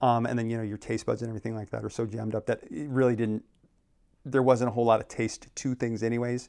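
Speaking very fast with an American accent, a man uses flat, monotone intonation. His voice sits at medium pitch with a dark, mellow tone. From Arizona (Phoenix). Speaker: realtor and planning commission chair. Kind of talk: casual interview conversation.

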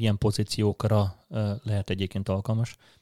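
A man's fairly low-pitched, dark, mellow voice in a monotone, flat intonation at a moderate pace, with a very clean recording, silent background, and a dry, close sound with no echo. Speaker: product manager. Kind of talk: interview. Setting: office.

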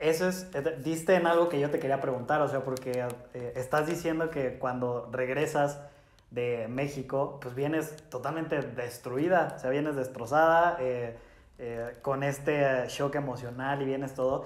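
Fairly high-pitched man at a fairly slow pace, with fairly even intonation and audible room echo. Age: 20s. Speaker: podcast host. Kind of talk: casual chat.

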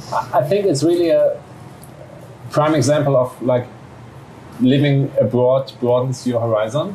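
Long, frequent pauses break up a man's fairly slow delivery, which has ordinary pitch variation. Noticeable background noise is present. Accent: German. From Germany. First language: German. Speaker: journalist. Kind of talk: interview.

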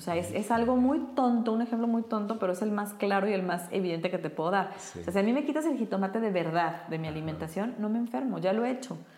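Over noticeable background noise, a woman talks very fast with hardly any pauses and lively intonation. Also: medium pitch for a woman. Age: 40s. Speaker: brain coach. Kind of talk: interview.

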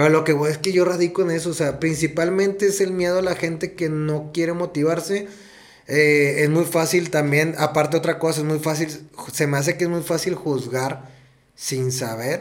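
Noticeable noise behind the speech, with fairly flat intonation. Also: man, fairly high pitch for a man, moderate pace. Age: 30s. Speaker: podcast co-host and teacher. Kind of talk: casual chat.

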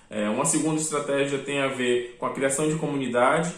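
With a fairly quick pace, a man talks in a monotone, flat intonation. Noticeable background noise and audible room echo surround his voice. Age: 30s. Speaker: game developer. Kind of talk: interview. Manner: frequent fillers.

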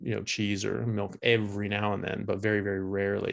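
A man's fairly low-pitched voice at a fairly quick pace against a quiet background. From US West Coast (California, Seattle). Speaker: neurosurgery resident and former rugby player. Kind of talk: interview. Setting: remote call.

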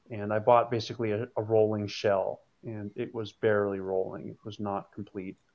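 With an American accent, a man talks at a moderate pace. His pitch is medium. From New England, US. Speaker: car enthusiast. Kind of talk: casual chat.

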